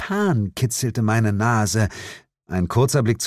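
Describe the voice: Against a quiet background comes plain reading aloud, its pitch varying in an ordinary way.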